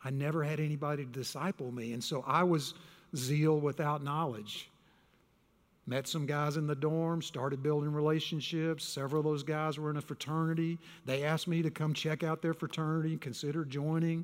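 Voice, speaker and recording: Over a very clean recording with a silent background, a man with a Texan accent talks at a fairly quick pace in a fairly high pitch with flat, monotone intonation. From Texas. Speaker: pastor. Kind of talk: sermon. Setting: church.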